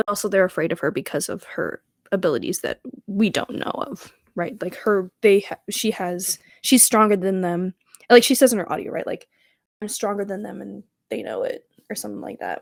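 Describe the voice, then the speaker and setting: A woman talks at a fairly quick pace with vocal fry, ordinary pitch variation and big swings in loudness, in a dry, close sound with no echo. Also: medium pitch for a woman. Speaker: podcast co-host. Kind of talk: casual chat. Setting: at home. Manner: animated.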